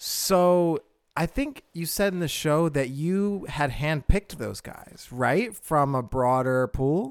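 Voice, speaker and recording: A man with an American accent speaks at a fairly high pitch and a very slow pace. His intonation is lively. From Pennsylvania, US. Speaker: podcast host and comedian. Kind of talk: casual interview chat.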